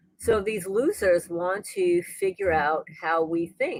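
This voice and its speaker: Speaking fairly slowly in a normal speaking voice, a woman shows ordinary pitch variation. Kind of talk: casual livestream talk to camera. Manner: conversational, rambling.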